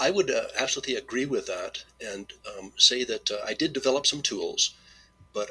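Music in the background behind a man talking at a fairly quick pace. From Manitoba, Canada. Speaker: retired IT volunteer genealogist. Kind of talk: podcast interview.

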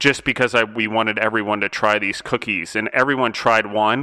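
Bright and sharp in tone, a man's medium-pitched voice keeps fairly even intonation at a moderate pace. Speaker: podcast host. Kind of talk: casual interview chat.

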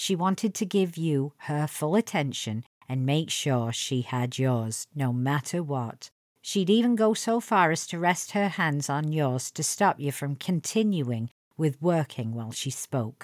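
A woman speaks at a fairly slow pace in a strong Lancashire accent, her very deep, low voice swinging very widely in pitch, with a dry, close sound, no echo and a very clean recording over a silent background. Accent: Lancashire English, thick. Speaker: podcast host. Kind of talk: storytelling anecdote, personal podcast.

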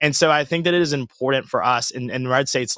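A man with a Southern US accent, very fast, with a bright, sharp tone, medium pitch and a dry, close sound with no echo. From US South, Georgia. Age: 20s. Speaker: conservative commentator. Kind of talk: casual interview.

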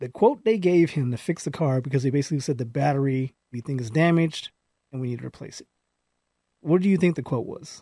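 Talking at a very fast pace, a man with a fairly high, somewhat breathy voice and a dark, mellow tone shows ordinary pitch variation. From California, Palmdale. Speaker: podcast co-host. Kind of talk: casual chat.

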